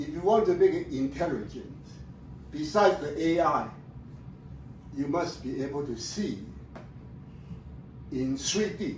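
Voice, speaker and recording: Fairly high male voice at a fairly slow pace, lively intonation, long and frequent pauses, and audible room echo. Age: 70s. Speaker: retired professor presenting his research. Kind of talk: presentation to family audience. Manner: halting.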